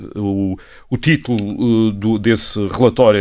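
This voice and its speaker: This man talks at a moderate pace with a fairly low pitch and fairly even intonation, in a European Portuguese accent. The recording is very clean with a silent background. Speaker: historian. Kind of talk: podcast conversation, explanatory. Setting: studio, sitting across from co-host. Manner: hesitant, many fillers.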